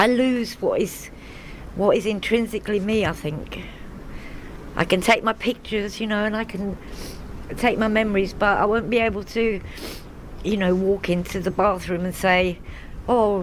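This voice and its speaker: Noticeable background noise runs beneath a woman speaking at a moderate pace, with fairly even intonation and long, frequent pauses. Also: medium pitch for a woman. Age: 60s. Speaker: council estate resident. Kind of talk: interview testimony. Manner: halting.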